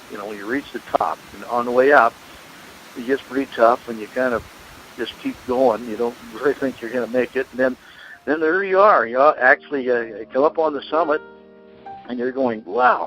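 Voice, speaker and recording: Noticeable background noise runs under a man speaking at medium pitch and a moderate pace. His pitch varies in an ordinary way, while his loudness swings widely. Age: 80s+. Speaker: pastor and caregiver. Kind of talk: interview. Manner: halting.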